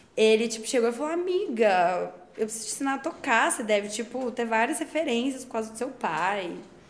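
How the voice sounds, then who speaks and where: A woman talks at a moderate pace in a high pitch with very wide pitch swings. Noticeable background noise and audible room echo fill the recording. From Brazil, Belo Horizonte. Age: 20s. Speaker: DJ. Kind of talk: casual interview chat.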